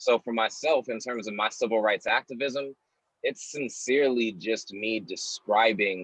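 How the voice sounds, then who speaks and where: An unremarkable speaking voice from a man at a medium pitch, fairly slow pace and ordinary pitch variation, in a dry, close sound with no echo. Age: young. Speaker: spoken word poet. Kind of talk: interview answer.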